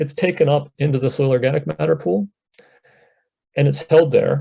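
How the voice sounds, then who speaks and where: A man with an American accent has a fairly high pitch and a dark, mellow tone that is somewhat breathy. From eastern US, Chesapeake Bay region. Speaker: scientist. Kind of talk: presentation to a panel audience.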